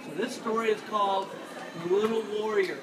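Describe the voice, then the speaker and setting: Over crowd noise in the background, a man speaks in a high voice with fairly even intonation. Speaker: storyteller. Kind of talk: live children's storytelling to an audience. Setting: busy vendor booth with background noise.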